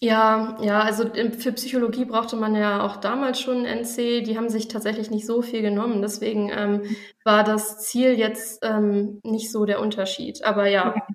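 A woman with a fairly high pitch talks at a moderate pace in monotone, flat intonation. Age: 20s. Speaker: junior doctor, course participant. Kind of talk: interview. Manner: hesitant, many filler sounds.

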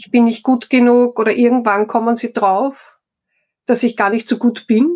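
Speaking at a fairly slow pace, a woman with a fairly high pitch uses an ordinary speaking voice with fairly even intonation. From Austria, Styria. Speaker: HR professional and coach. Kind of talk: interview.

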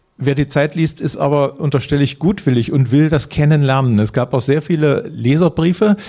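A man's fairly high voice with a dark, mellow tone, moderate pace, ordinary pitch variation, very even loudness and hardly any pauses. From Brandenburg, eastern Germany. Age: 60s. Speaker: journalist and author. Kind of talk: panel discussion. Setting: stage with audience.

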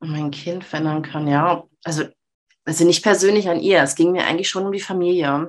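Talking at a fairly quick pace, a woman uses a normal speaking voice with fairly low pitch and fairly even intonation. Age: 30s. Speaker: mother, self-employed former social worker. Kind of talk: interview.

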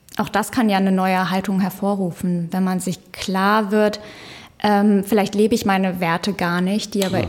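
At a moderate pace, a woman speaks in an unremarkable speaking voice with a medium pitch and fairly even intonation. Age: 20s. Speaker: psychologist. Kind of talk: casual chat. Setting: studio.

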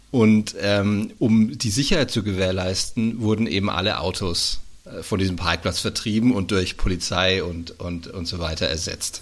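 At a moderate pace with hardly any pauses, a man uses an ordinary speaking voice, pitched fairly low with ordinary pitch variation. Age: 30s. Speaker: screenwriter. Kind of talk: interview.

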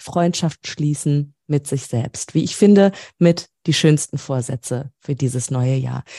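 A woman with a dark, mellow tone speaks fairly slowly with lively intonation, in a dry, close sound with no echo. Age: 30s. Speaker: podcast host. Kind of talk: interview.

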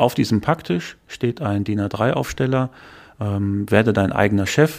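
Speaking at a moderate pace, a man uses an ordinary speaking voice, fairly low in pitch with ordinary pitch variation. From western Germany, Dortmund (Ruhr area). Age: 30s. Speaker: franchise executive. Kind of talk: interview.

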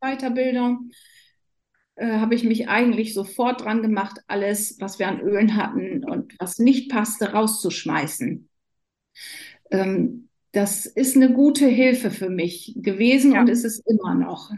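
With a dark, mellow tone and a somewhat breathy sound, a woman talks at a fairly slow pace in a fairly high pitch with ordinary pitch variation. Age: 50s. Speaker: nurse. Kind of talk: casual interview.

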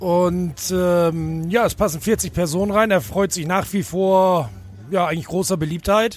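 Fairly slow and with ordinary pitch variation, a man speaks at a high pitch. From Bremen. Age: 40s. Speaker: fairground ride operator. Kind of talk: interview. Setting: outdoors at a fairground. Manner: hesitant with fillers.

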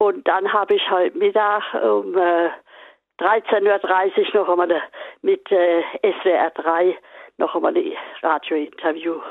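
A woman speaks at a very slow pace with very even loudness and long, frequent pauses. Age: 80s+. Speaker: retired political activist. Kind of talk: interview. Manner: halting.

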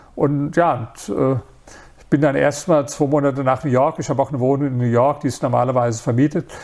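Using a normal speaking voice, a man talks at a fairly quick pace with a fairly high pitch and fairly even intonation. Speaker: author and entrepreneur. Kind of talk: interview.

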